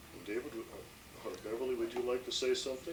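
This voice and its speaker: There is audible room echo and noticeable background noise as a man speaks with ordinary pitch variation. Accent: American. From Minnesota. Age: 60s. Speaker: building contractor. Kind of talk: casual family interview.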